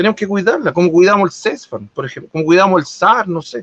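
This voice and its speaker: The voice has a bright, sharp tone and ordinary pitch variation. It moves at a very fast pace. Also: man, dry, close sound with no echo. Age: 40s. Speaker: local politician. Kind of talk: interview.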